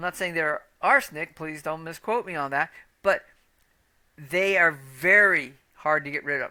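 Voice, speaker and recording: A woman with a fairly low pitch and a bright, sharp tone speaks at a moderate pace with ordinary pitch variation, big swings in loudness and long, frequent pauses, on a very clean recording with a silent background. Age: 60s. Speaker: metabolic health coach. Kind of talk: educational monologue. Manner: casual, conversational with fillers.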